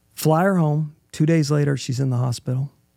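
With an American accent, a man speaks at a moderate pace in a fairly high, somewhat breathy voice with fairly even intonation. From Oklahoma. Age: 40s. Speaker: adoptive father, former engineer.

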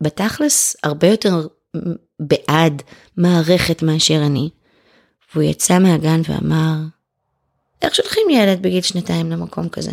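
With long, frequent pauses, a woman delivers her words at a fairly slow pace. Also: dry, close sound with no echo. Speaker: writer and former homeschooling mother. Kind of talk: casual chat.

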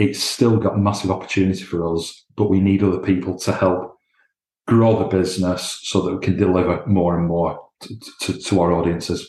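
In a Lancashire accent, a man speaks at a moderate pace with a very deep, low pitch, somewhat breathy delivery and fairly even intonation against a quiet background. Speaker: commercial director. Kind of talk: interview.

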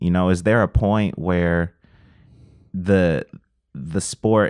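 A man with a very deep, low pitch talks against a quiet background. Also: dry, close sound with no echo. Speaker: climber and rapper. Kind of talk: casual chat. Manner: soft-spoken.

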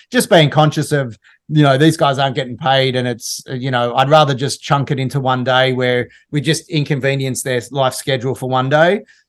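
Speaking with an Australian accent, this man has a fairly high pitch and fairly even intonation. He keeps a moderate pace over a quiet background. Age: 50s. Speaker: TV producer and entrepreneur. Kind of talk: podcast interview.

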